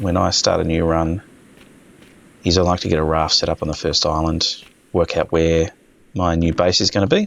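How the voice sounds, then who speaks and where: With an Australian accent, a man talks at a moderate pace in a very deep, low pitch. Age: old. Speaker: gaming video creator. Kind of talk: casual gameplay commentary. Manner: hesitant, many fillers; laid-back. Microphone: basic home setup, possible audio issues.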